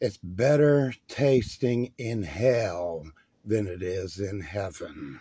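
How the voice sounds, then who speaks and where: Very slowly, a man with a fairly low, somewhat breathy voice speaks with lively intonation. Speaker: radio host playing a devil persona. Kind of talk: comedic in-character rock radio patter, profane rant. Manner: animated, brash, and rambling.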